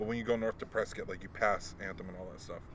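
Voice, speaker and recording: A man rattles off words at a very fast tempo with noticeable background noise around him. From Hawaii. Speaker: podcast host. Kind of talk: casual chat.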